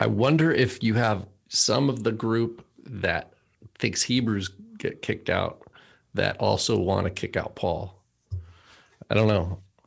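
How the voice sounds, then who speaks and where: This man has a fairly low pitch with ordinary variation. He takes long, frequent pauses. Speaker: podcast co-host. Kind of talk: casual chat.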